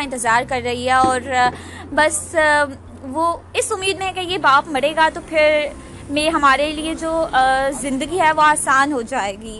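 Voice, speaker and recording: A woman's raised, projected voice, high in pitch, with ordinary pitch variation. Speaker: podcaster. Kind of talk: casual monologue. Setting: outdoors at roadside bus stop.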